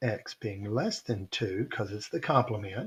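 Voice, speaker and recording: A man's somewhat breathy voice sits at a medium pitch and moves at a moderate pace. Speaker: statistics teacher. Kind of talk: lecture.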